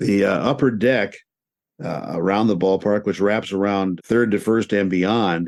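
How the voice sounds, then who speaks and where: At a fairly slow pace, this is a plain, everyday voice with ordinary pitch variation. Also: man, fairly low pitch for a man. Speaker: radio sports play-by-play announcer. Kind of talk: interview answer, conversational storytelling.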